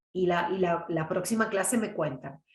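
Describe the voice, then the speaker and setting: A woman's calm voice at a fairly slow pace. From Córdoba, Argentina (Las Varillas, Villa María). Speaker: oratory teacher and trained announcer. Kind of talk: online lecture. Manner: calm, conversational.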